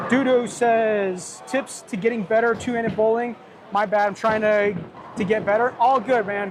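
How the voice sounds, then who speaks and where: A man speaks at a moderate pace in a high pitch with fairly even intonation. Noticeable background noise is present. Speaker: bowler and live streamer. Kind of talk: live stream chat. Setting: bowling alley. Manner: sometimes whispering quietly.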